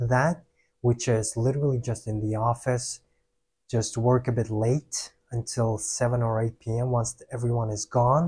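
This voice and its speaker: Recorded very cleanly against a silent background, a man speaks at a medium pitch with a somewhat breathy voice. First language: Russian and Kyrgyz. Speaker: vlogger, salesperson. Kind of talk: casual personal vlog.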